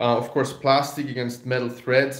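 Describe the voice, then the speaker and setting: A man speaks in a room with audible echo and a quiet background. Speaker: carving teacher. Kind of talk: product demo tutorial. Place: home room. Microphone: phone near.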